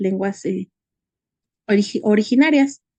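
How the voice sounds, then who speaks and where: A woman's medium-pitched voice with a dark, mellow tone, lively intonation and a fairly slow pace, with a Mexican accent, in a dry, close sound with no echo. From Mexico, Hidalgo. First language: Nahuatl (speaking Spanish). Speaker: conference speaker. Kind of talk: conference talk. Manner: halting, many fillers.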